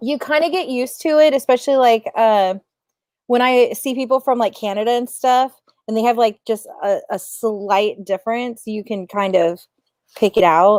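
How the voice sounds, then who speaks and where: Moderately paced, a fairly high-pitched woman with an American accent comes across in a dry, close sound with no echo. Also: ordinary pitch variation. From US Midwest, Ohio. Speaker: book review show host. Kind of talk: casual chat. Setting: live video stream. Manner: casual, filler-heavy.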